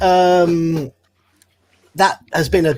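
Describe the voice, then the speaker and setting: A man in a British accent is heard with a dry, close sound and no echo. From Britain. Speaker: tabletop game master. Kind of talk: casual chat.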